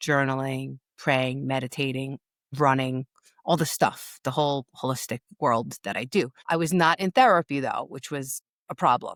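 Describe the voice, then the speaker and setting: A woman's very deep, low voice in a New York accent, with fairly even intonation and a dry, close sound with no echo, on a very clean recording with a silent background. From New York, Long Beach. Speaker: grief and empowerment coach. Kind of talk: interview storytelling. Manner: casual, halting with restarts.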